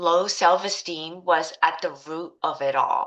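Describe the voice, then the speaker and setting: Speaking in a Taiwanese accent, a woman has a fairly low pitch and a bright, sharp tone. She goes at a very slow pace against a quiet background. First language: Mandarin Chinese. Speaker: life coach. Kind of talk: course introduction, personal story.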